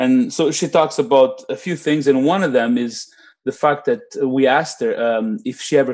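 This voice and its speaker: Speaking with a non-native accent against a quiet background, a man talks at a fairly quick pace and medium pitch with ordinary pitch variation. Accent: foreign-accented English. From immigrant to Canada. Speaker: podcast co-host. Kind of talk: casual chat.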